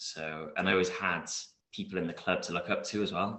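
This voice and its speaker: A man with a south Wales accent. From Wales (Newport area). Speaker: martial arts competitor. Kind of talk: interview.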